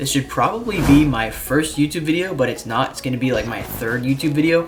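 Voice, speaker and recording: Noticeable background noise sits behind the speaker. He is a man with a fairly high-pitched voice. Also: ordinary pitch variation. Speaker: beginner YouTuber. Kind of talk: scripted vlog monologue. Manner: halting with pauses when unscripted.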